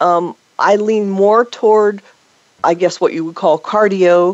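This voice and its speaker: This woman has an ordinary speaking voice at a medium pitch. She talks at a fairly slow pace. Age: 50s. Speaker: fitness and health expert. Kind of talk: interview.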